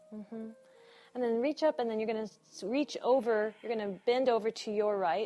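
A woman's fairly high voice in a calm, playful tone, with ordinary pitch variation, a moderate pace and music in the background. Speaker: yoga instructor. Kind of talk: live yoga class cueing, breath-paced commands. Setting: studio class with live participants. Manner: rhythmic, clipped imperative cues timed to breath; calm, encouraging, lightly playful with laughs.

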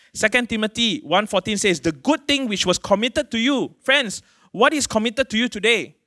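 A man's extremely high, bright, sharp, raised and projected voice with a Malaysian accent, lively intonation and a fairly quick pace, on a very clean recording with a silent background. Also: dry, close sound with no echo. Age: 40s. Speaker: pastor. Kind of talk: sermon. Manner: casual, conversational preaching with fillers.

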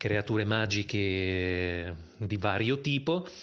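A man speaks at a medium pitch. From Italy, Bologna. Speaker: voice actor and author. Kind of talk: interview.

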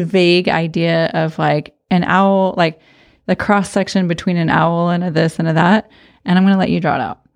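A woman with an American accent speaks at a medium pitch and moderate pace in a plain, everyday voice. The background is quiet. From Arizona. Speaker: podcast host. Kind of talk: casual chat.

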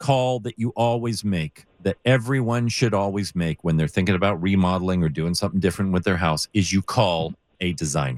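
Recorded dry and close with no echo, a man with a fairly low pitch speaks at a moderate pace with lively intonation. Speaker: radio host. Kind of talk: call-in radio show. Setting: radio studio, live broadcast.

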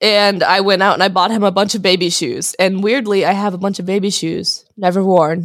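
A woman with a normal speaking voice talks at a fairly quick pace with hardly any pauses. Her pitch is medium and her intonation fairly even. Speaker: comedy podcast co-host. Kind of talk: casual chat.

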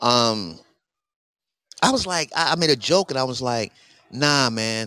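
The tone is bright and sharp, with lively intonation. The sound is dry and close, with no echo. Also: man. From New York City. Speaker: podcast host. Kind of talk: casual chat. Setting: outdoors in London.

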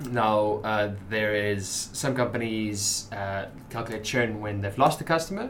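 A man speaks fairly slowly at a fairly low pitch, his intonation fairly even. There is noticeable background noise. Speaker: business editor, podcast co-host. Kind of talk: casual chat.

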